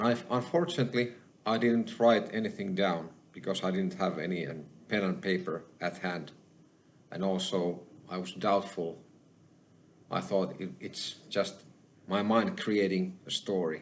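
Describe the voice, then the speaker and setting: At a moderate pace with long, frequent pauses, a man with a Finnish accent speaks in a fairly low pitch with ordinary pitch variation. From Finland. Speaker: spiritual channeler / YouTuber. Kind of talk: personal testimony monologue. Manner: halting.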